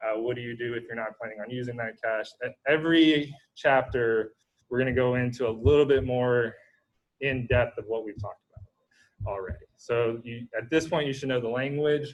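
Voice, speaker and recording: A man speaks in an ordinary speaking voice at a medium pitch and moderate pace. His intonation is fairly even, though there are big swings in loudness. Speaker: university lecturer. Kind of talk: lecture. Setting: video call.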